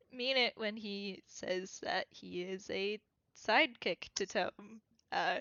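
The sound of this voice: The reading voice is unforced and the background is quiet.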